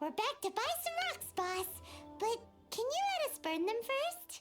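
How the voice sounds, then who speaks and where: A squeaky, put-on character voice at an extremely high pitch and a fairly slow pace, over loud music in the background. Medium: video game. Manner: excitable.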